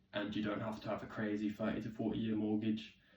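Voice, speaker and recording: Someone with an English accent speaks in a dark, mellow tone. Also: man. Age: 20s. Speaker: vlogger. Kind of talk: casual vlog talk.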